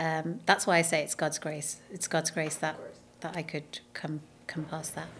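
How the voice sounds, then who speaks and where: A woman with a British accent speaks at a moderate pace with a very deep, low pitch and monotone, flat intonation. The recording is very clean, with a silent background. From London, England. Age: 40s. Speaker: nutrition advocate and presenter. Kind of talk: podcast interview.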